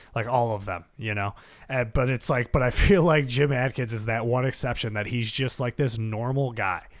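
A man with an American accent, a plain, everyday voice, medium pitch, ordinary pitch variation and a moderate pace. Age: 20s. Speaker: podcast host and musician. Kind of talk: casual interview chat.

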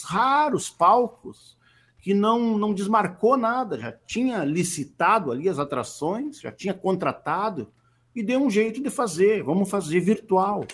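On a very clean recording with a silent background, the speech unfolds at a fairly slow pace. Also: man. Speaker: regional musician and singer-songwriter. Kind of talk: interview. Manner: halting, with frequent repetitions.

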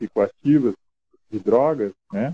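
A man talks at a fairly slow pace. The sound is dry and close, with no echo. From northern Paraná, Brazil. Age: 40s. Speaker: social project leader. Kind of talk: interview. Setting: video call. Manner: halting.

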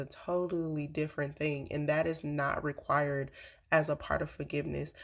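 Flat, monotone intonation, moderately paced. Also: woman. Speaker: podcast host. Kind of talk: casual faith-based monologue. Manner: halting, with fillers.

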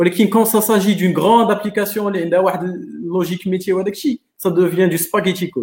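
A man speaks at a fairly quick pace in a high voice. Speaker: software engineer. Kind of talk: casual chat.

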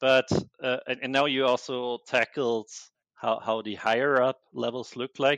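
In a German accent, a man speaks at a medium pitch with a monotone, flat intonation and a fairly slow pace. The sound is dry and close with no echo, over a quiet background. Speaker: software engineer. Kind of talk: casual interview conversation. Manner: halting, many repetitions.

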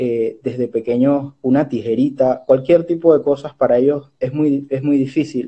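A man with an unremarkable speaking voice talks at a fairly slow pace, fairly high in pitch, with fairly even intonation. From Panama, Chiriquí. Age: 20s. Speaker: social entrepreneur and bank advisor. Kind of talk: interview.

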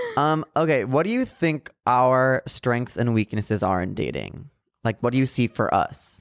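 Recorded in a dry, close sound with no echo, a man talks at a fairly slow pace. He has a plain, everyday voice with ordinary pitch variation. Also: medium pitch for a man. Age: 20s. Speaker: podcast co-host. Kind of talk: casual chat. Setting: studio.

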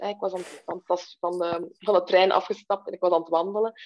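A woman talks at a medium pitch. Her intonation is monotone and flat. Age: 30s. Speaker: webshop owner. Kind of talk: interview conversation. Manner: slow, halting.

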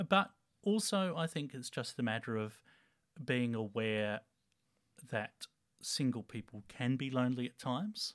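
A man with an Australian accent talks at a moderate pace with lively intonation and long, frequent pauses. The recording is very clean with a silent background. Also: medium pitch for a man. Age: 30s. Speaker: town planner and church tech team leader. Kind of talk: casual interview. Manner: halting, many fillers.

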